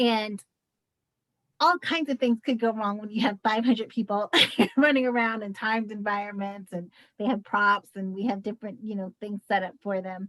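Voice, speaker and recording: Her pitch sits fairly high, with ordinary variation, at a moderate pace. The woman's voice sounds dry and close, with no echo. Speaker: nonprofit director moderating a training webinar. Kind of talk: webinar discussion.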